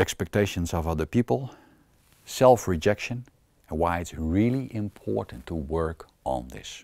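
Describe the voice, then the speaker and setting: With a Dutch accent and a dark, mellow tone, a man speaks at a moderate pace with long, frequent pauses. Very wide pitch swings and big swings in loudness mark his delivery on a very clean recording with a silent background. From Netherlands. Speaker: self-help coach. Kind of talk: self-help talk to camera.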